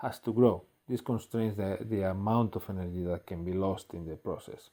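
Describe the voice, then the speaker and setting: A man with a fairly low pitch and a dark, mellow tone speaks with ordinary pitch variation on a very clean recording with a silent background. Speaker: physics professor. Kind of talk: lecture. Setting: recorded video lecture. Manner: slow; halting, many fillers.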